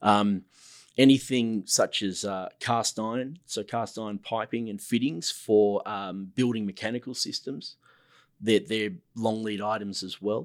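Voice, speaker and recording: An Australian-accented man at a fairly slow pace, fairly low in pitch with fairly even intonation, on a very clean recording with a silent background. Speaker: construction manager. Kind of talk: casual interview chat.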